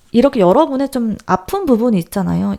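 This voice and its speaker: A woman's voice with ordinary pitch variation. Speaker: tarot reader. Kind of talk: tarot reading talk to viewers. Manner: natural unaltered voice.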